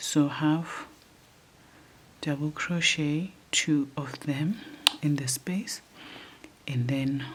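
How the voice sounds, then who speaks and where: A woman speaks very slowly in a very deep, low voice with ordinary pitch variation and long, frequent pauses. Noticeable background noise runs underneath. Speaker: crochet tutor. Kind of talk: tutorial. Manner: casual, conversational.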